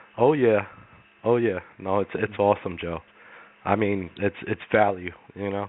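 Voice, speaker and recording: A man speaks at a fairly low pitch with fairly even intonation and long, frequent pauses. Noticeable background noise runs behind him. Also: moderate pace. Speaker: caller. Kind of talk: casual chat.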